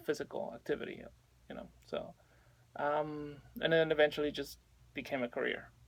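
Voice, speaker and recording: A man with a Spanish accent at a fairly quick pace. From Mexico City, Mexico. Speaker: personal trainer. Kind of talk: radio interview.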